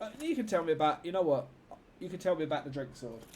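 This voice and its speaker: Fairly high-pitched for a man, this voice has a London accent and lively intonation. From London, England. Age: 30s. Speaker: gaming streamer. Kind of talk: live gameplay stream chat. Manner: casual, chatty.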